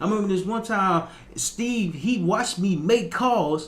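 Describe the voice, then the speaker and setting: A man with a high pitch speaks at a moderate pace with an American accent. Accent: strong Southern US accent when relaxed. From US South, Little Rock, Arkansas. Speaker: motivational podcaster. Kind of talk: motivational talk. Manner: repetitive, stumbling in places.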